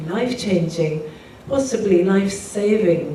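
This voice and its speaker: A woman's medium-pitched voice with an English accent, moderate pace and ordinary pitch variation, plus audible room echo and noticeable background noise. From England, Pakistani background. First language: Urdu. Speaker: singer-songwriter. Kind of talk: talk to live audience.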